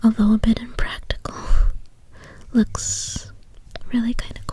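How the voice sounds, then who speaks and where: Soft-spoken whispering at a fairly slow pace, with noticeable background noise. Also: woman. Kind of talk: ASMR soft-spoken show-and-tell. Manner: soft-spoken, whispery.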